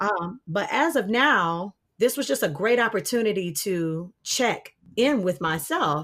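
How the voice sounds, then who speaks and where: A woman with a medium pitch speaks in very wide pitch swings. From Detroit, Michigan. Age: 30s. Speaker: opera singer. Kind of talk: podcast interview.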